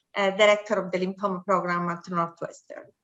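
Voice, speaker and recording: A woman's very fast speech with an Italian accent. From Italy. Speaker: physician, professor. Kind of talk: interview, professional discussion.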